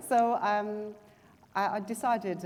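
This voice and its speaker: A woman is speaking. She has a Chinese accent. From China. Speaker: writer and journalist. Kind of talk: panel discussion. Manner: halting, many fillers and restarts.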